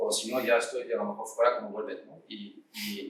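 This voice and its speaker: The voice carries a French accent. Audible room echo and noticeable background noise come through. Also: man. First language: French (speaking Spanish). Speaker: startup founder. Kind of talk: panel discussion. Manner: halting, many fillers and restarts.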